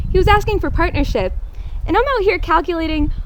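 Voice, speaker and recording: A woman speaks loudly with an American accent. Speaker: bride reading wedding vows, air force veteran. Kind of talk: wedding vows speech.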